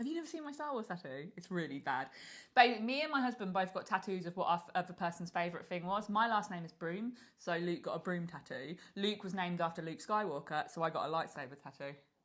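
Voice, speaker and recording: A woman with an English accent speaks very fast and loud at a medium pitch, her pitch swinging very widely. The recording is very clean, with a silent background. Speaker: podcast co-host. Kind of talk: casual chat.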